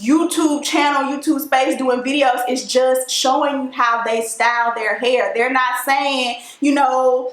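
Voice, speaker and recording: With an Alabama accent, the speaker talks at a fairly slow pace with fairly even intonation, amid noticeable background noise and audible room echo. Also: woman. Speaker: natural hair YouTuber. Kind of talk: vlog monologue.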